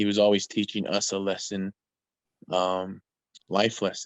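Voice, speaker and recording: A man with an American accent speaks in a normal speaking voice at a moderate pace. His pitch is fairly low. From Walker River Paiute Reservation, Nevada, US. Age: 30s. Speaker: storyteller, youth coach. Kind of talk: interview.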